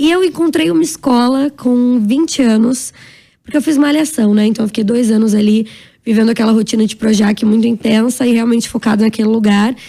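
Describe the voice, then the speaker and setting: Woman with a fairly high pitch, a dark, mellow tone, fairly quick pace and very even loudness. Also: ordinary pitch variation. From Brazil, São Paulo. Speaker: actress and entrepreneur. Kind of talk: interview. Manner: fast; animated.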